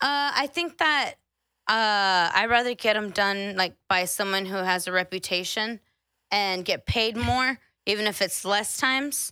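A woman with an American accent, bright and sharp in tone, with lively intonation, on a very clean recording with a silent background. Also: medium pitch for a woman. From Central Texas (Austin area). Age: 20s. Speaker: podcast guest. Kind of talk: casual chat.

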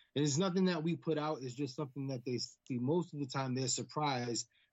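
A man talks with an American accent in an unremarkable speaking voice. His pitch sits in the middle range and varies in an ordinary way. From US Northeast. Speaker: pro wrestler. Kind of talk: casual chat.

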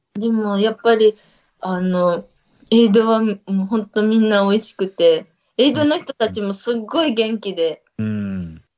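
A woman's fairly high-pitched voice, a plain, everyday voice with ordinary pitch variation and a fairly slow pace. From Niigata, Ojiya. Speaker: trail runner. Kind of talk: casual chat.

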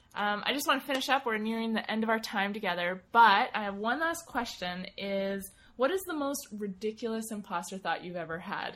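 In a very clean recording with a silent background, a woman with a normal speaking voice and an American accent talks at a fairly quick pace with hardly any pauses. Her pitch is fairly high and her intonation is lively. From Montana. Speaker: podcast host. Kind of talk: interview.

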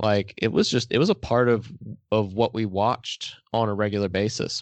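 A man's normal speaking voice at medium pitch, moderate pace and fairly even intonation, with an American accent. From Texas. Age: 20s. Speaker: podcaster. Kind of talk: casual chat.

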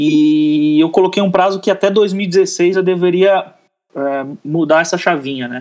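A man's voice at a very slow pace, with fairly even intonation. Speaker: athlete and advertising professional. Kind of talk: podcast interview. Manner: halting, many repeated words.

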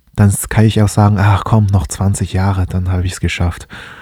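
Using fairly even intonation, a man with a fairly low pitch and a dark, mellow, somewhat breathy tone talks at a moderate pace. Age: 20s. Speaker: finance podcaster. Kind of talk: solo podcast monologue. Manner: hesitant, many filler sounds.

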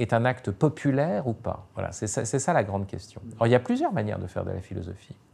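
A man with a dark, mellow tone speaks in lively intonation. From France. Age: 50s. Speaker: philosopher and writer. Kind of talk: interview. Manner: hesitant, many fillers.

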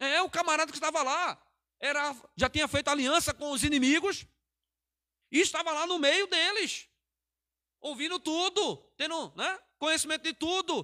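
A man's extremely high, raised and projected voice, bright and sharp in tone, at a moderate pace with ordinary pitch variation and long, frequent pauses, in a very clean, dry, close recording with no echo and a silent background. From Pernambuco, Brazil. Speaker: pastor. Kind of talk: sermon. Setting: church livestream.

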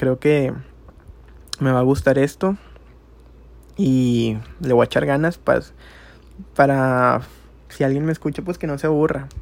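A man talks at a fairly slow pace, with long, frequent pauses. His fairly high pitch shows ordinary variation. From Monterrey, Nuevo León, Mexico. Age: 20s. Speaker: amateur podcaster. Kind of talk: casual monologue.

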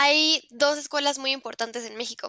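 In a very clean recording with a silent background and a dry, close sound with no echo, a woman speaks at a moderate pace in a bright, sharp tone with fairly even intonation. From Mexico. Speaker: university student. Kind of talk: casual interview.

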